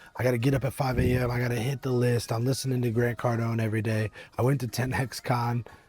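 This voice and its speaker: Over music in the background, a man talks at a very fast pace with monotone, flat intonation. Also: medium pitch for a man. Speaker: business coach. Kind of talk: motivational talk to camera. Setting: outdoors at a winery.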